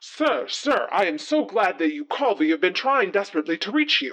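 Someone does a put-on character voice at a middle pitch, moving at a fairly quick pace. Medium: actual play. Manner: formal, fussy.

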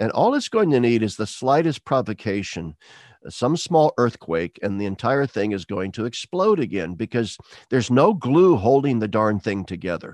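This man has an unremarkable speaking voice, medium in pitch, with an American accent and lively intonation at a moderate pace. The sound is dry and close with no echo, against a quiet background. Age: 60s. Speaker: retired theology professor. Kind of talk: interview conversation.

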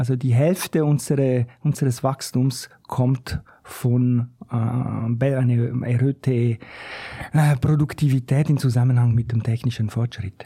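Somewhat breathy, a man speaks at a medium pitch with fairly even intonation. His pace is very slow. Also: very even loudness. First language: not German (speaking German). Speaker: economist, think tank researcher. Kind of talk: casual chat. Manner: halting.

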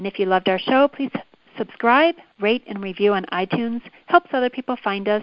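A woman talks at a fairly quick pace with a fairly high pitch and ordinary pitch variation. It is an ordinary speaking voice. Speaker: podcast host. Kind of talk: interview.

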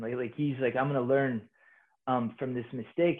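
Fairly even intonation at a medium pitch from a male speaker. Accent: American. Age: 30s. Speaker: army officer. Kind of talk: casual interview. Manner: halting, many fillers.

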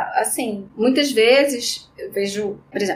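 A woman speaks at a high pitch and a moderate pace. Background noise is noticeable. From Rio de Janeiro, Brazil. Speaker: dermatologist. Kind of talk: interview.

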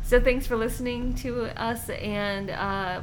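Ordinary pitch variation from a woman, with noticeable background noise. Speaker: podcast co-host. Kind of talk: casual chat.

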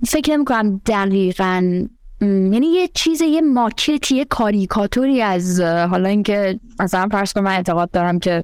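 With a normal speaking voice, a woman talks at a moderate pace with hardly any pauses, very even loudness and lively intonation. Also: medium pitch for a woman. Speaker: panel guest. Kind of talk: casual discussion.

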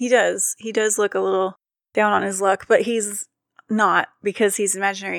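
Recorded dry and close with no echo, a woman at medium pitch speaks at a moderate pace in a playful tone despite monotone, flat intonation. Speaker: podcast host. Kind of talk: casual banter. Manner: playful, laughs easily.

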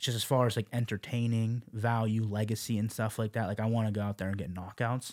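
A man's medium-pitched, normal speaking voice with an American accent, fairly even intonation and a fairly quick pace, on a very clean recording with a silent background. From Las Vegas. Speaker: MMA fighter. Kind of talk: casual chat. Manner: casual.

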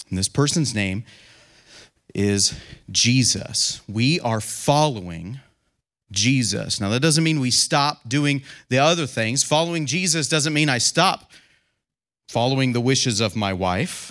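A man talks at a fairly slow pace with a medium pitch and lively intonation. Long, frequent pauses break up his speech on a very clean recording with a silent background. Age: 30s. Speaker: lay Bible teacher. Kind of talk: sermon. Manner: halting.

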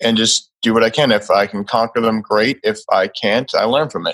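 A man with an American accent and a plain, everyday voice, on a very clean recording with a silent background. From Massachusetts. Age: 20s. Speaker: holistic lifestyle coach. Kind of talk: interview.

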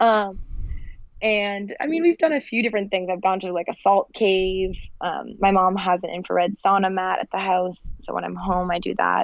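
A woman talks in a normal speaking voice at a medium pitch and moderate pace, with ordinary pitch variation. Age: 20s. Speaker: chronic illness patient and website founder. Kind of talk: interview.

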